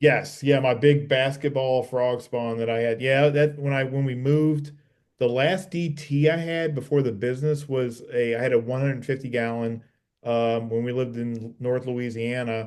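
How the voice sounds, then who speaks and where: Fairly even intonation and a moderate pace from a man with an ordinary speaking voice and medium pitch. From US South, New Orleans. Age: 50s. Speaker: reef aquarium hobbyist, channel owner. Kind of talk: casual chat.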